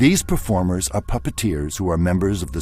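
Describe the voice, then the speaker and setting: Music in the background behind a man's very deep, low voice at a moderate pace. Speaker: narrator. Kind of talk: documentary narration.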